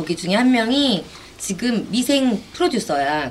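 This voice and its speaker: Very wide swings in pitch from a female speaker, with noticeable noise in the background. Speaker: live stream co-host. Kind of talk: casual live political talk show. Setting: live stream broadcast.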